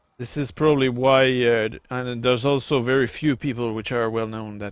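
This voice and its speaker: A man at a medium pitch and moderate pace, fairly even intonation, music in the background. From Quebec, French Canada. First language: French. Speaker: gaming YouTuber. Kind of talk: let's play commentary. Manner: casual, hesitant with fillers.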